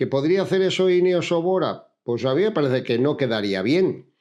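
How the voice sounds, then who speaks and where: A man's pitch swings very widely. The background is quiet. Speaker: cycling commentator. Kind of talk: video commentary. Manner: fast.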